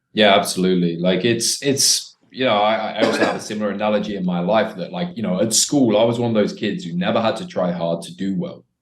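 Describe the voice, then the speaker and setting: Talking at a very fast pace with hardly any pauses, a man with a British accent uses lively intonation at a fairly low pitch. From Britain. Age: 20s. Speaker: dating coach. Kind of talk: casual chat.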